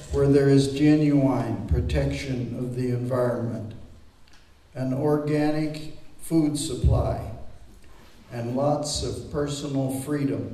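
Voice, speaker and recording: Audible room echo surrounds a man's voice. He talks at a very slow pace with fairly even intonation. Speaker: poet reading. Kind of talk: poetry reading. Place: hall. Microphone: camera far.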